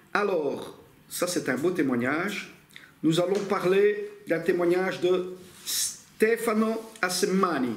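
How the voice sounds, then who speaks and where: Over noticeable background noise and audible room echo, a man with an Italian accent speaks very slowly at a high pitch. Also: ordinary pitch variation. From Italy. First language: Italian (speaking French). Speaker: bible teacher. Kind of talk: lecture. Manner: casual, with hesitations.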